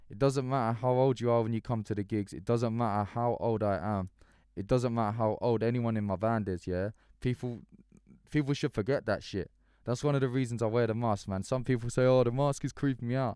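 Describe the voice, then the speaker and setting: Recorded very cleanly against a silent background, this voice moves at a fairly quick pace with an English accent. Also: man. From English countryside. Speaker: musician. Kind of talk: live stream chat. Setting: live stream. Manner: casual, animated.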